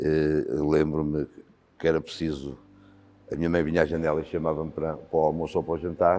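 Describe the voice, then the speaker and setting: With a very deep, low pitch, a man talks while music plays behind him. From Portugal, Beira Alta (Santa Comba Dão). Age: 60s. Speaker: volunteer fire commander. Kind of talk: interview. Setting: fire station.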